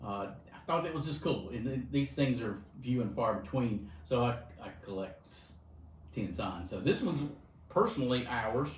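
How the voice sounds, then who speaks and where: Over audible room echo, the speaker uses lively intonation and vocal fry at a moderate pace, leaving long, frequent pauses. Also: man, medium pitch for a man. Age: 60s. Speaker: insurance agency vice president. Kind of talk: interview.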